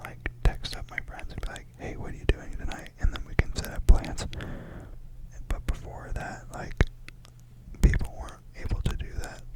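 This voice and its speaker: A woman whispers at a moderate pace, with long, frequent pauses and big swings in loudness over noticeable background noise. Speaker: ASMR creator. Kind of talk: casual talk to camera, opinion discussion. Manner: conversational, casual, thoughtful.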